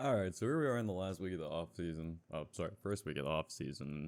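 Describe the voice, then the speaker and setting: Very fast and very deep, low in pitch, a man talks with ordinary pitch variation. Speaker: gaming YouTuber. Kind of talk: gameplay commentary. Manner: casual, conversational.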